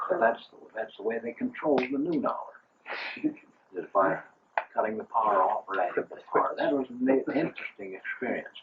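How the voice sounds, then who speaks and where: A man with an American accent keeps a moderate pace while noticeable background noise runs behind him. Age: 80s+. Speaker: retired church welfare worker. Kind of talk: family storytelling.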